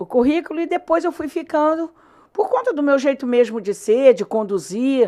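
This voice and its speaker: A woman talks with a high pitch at a moderate tempo, her pitch swinging very widely. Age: 60s. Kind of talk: interview answer. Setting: studio. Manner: halting, frequent repetitions.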